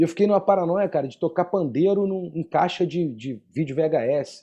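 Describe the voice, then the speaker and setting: Against a quiet background, a man with a Rio de Janeiro accent speaks in a dark, mellow tone with lively intonation. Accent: Carioca Brazilian Portuguese. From Rio de Janeiro, Brazil. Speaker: percussionist and podcast co-host. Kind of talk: casual chat.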